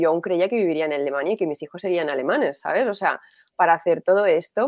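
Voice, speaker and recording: A woman's animated tone and lively intonation, in a very clean recording with a silent background. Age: 40s. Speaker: entrepreneur and business strategist. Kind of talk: interview.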